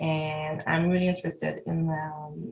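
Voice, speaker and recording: Here a woman speaks with a French Canadian accent. She keeps a fairly slow pace. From Quebec, Canada. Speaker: artist. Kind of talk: artist talk. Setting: video call. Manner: halting.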